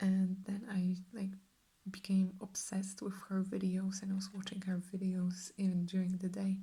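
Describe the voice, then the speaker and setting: Soft-spoken and relaxed, a woman talks at a fairly slow pace with long, frequent pauses, her medium-pitched voice dark, mellow and somewhat breathy, her intonation monotone and flat. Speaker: ASMR artist. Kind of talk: ASMR Q&A answers to camera. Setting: studio, close microphone. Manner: soft-spoken, relaxed.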